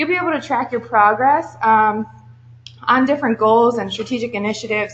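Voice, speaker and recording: Fairly quick speech from a woman, fairly high in pitch with ordinary pitch variation. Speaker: university assessment staff presenter. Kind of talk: workshop presentation. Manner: loud.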